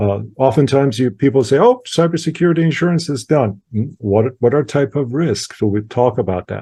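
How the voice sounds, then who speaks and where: Talking at a fairly quick pace with hardly any pauses, a man with a medium pitch sounds somewhat breathy, with a dark, mellow tone and lively intonation. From Iran. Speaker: IT services expert. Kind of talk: webinar presentation. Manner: halting, many fillers.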